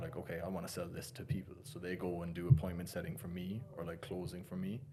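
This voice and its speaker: Amid audible room echo, a man with an Irish accent and a very deep, low voice talks at a fairly quick pace with ordinary pitch variation. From Ireland. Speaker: financial coach. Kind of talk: podcast interview. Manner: casual, filler-heavy.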